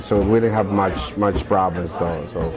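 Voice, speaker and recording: A man speaks at a moderate pace with a fairly low pitch. There is music in the background. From Colombia. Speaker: youth worker and dance company director. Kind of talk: interview testimony. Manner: halting.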